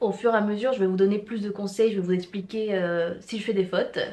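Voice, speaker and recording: A woman speaks at a medium pitch. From Mexico. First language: Spanish (speaking French). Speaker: vlogger and student. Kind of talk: casual vlog. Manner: hesitant, many fillers and repetitions.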